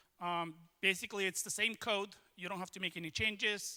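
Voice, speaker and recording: A man's raised, projected voice, high-pitched with a bright, sharp tone, monotone and flat, at a moderate pace with a non-native accent. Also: dry, close sound with no echo. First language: not English. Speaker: tech consultant, conference speaker. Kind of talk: lightning talk. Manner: hesitant, many fillers.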